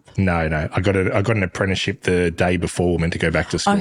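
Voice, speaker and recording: A man with an Australian accent speaks at a fairly quick pace in a very deep, low pitch. His intonation is monotone and flat, and his loudness stays very even. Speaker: podcast guest, host's partner.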